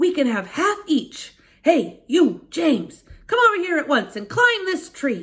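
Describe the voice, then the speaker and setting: A woman speaks in a put-on character voice, raised and projected, at an extremely high pitch. Her pace is fairly slow, and her pitch swings very widely. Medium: read story. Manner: greedy, petulant.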